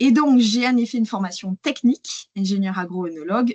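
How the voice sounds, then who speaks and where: A somewhat breathy woman speaks at a fairly slow pace. Her intonation is lively. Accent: southern French. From southern France, Hérault. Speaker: AI and wine marketing consultant. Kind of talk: webinar presentation. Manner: hesitant, many fillers.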